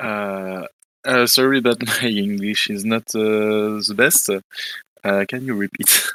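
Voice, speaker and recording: A man with a French accent speaks very slowly in a fairly low pitch, his intonation monotone and flat. His tone is bright and sharp, and the sound is dry and close with no echo. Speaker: gaming competitor. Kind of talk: casual interview. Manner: halting.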